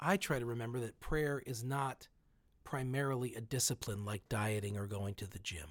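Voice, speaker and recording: The recording is very clean, with a silent background. A man speaks in a normal speaking voice with ordinary pitch variation. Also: medium pitch for a man, moderate pace. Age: 40s. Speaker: pastor. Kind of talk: spoken reflection.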